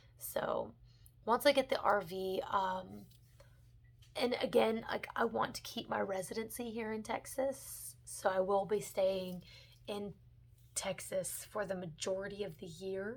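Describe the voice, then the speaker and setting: A woman speaks at a fairly slow pace with an Alabama accent, her medium-pitched voice showing vocal fry and ordinary pitch variation. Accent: Southern (Mobile, Alabama). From US South, Mobile, Alabama. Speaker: book vlogger. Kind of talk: casual vlog update.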